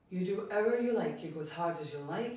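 Very fast speech with audible room echo and light background noise. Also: woman. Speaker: fitness instructor. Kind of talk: exercise class instruction. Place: home room. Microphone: camera far.

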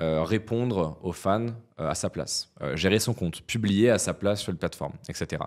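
A man speaks at a moderate pace with a fairly low pitch and ordinary pitch variation. The background is quiet. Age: 20s. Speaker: entrepreneur; podcast guest. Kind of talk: interview. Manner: hesitant with frequent fillers. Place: studio. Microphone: studio mic.

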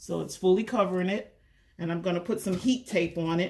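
The woman's voice is somewhat breathy, with fairly even intonation. Light background noise can be heard. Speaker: crafter demonstrating. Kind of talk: tutorial. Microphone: camera far.

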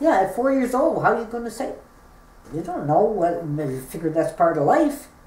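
A woman talks at a moderate pace, her pitch swinging very widely and her loudness rising and falling in big swings. Room echo is audible. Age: 60s. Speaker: bullying survivor. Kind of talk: interview answer. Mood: earnest, recounting painful memories. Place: home room. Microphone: camera far.

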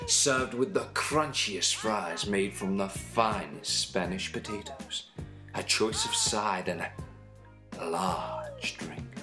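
This man talks very slowly. Behind him, music can be heard. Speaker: voice actor.

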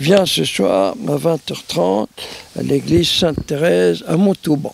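No echo colors the sound, which is dry. The voice belongs to a man. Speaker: priest. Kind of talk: interview answer, storytelling. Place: garden.

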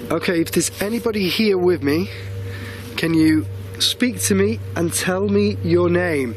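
Music plays in the background as a man speaks at a fairly slow pace with very wide pitch swings, the sound dry with no echo. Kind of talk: casual vlog chat. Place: open country. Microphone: phone near.

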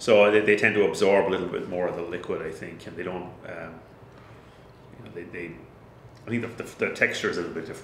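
Someone with a Kildare Irish accent speaks at a moderate pace, loudness swinging widely, with audible room echo and light background noise. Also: man. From Ireland, County Kildare (countryside); Ireland. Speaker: head brewer; guest. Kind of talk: casual chat. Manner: halting, many fillers. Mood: relaxed, friendly. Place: office. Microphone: camera far.

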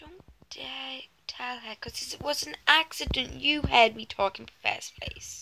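Putting on a character voice, a woman speaks fairly slowly in a high, bright, sharp tone with vocal fry. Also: ordinary pitch variation.

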